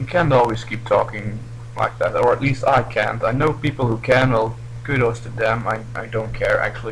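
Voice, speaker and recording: A man with a non-native accent talks at a moderate pace over noticeable background noise. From Belgium. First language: not English. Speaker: gaming commentator. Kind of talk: gameplay commentary. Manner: halting.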